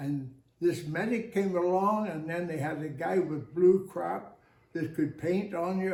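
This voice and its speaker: A man with a high voice talks fairly slowly, his pitch moving up and down an ordinary amount. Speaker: oral history interviewee, former military serviceman. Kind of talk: oral history interview, storytelling.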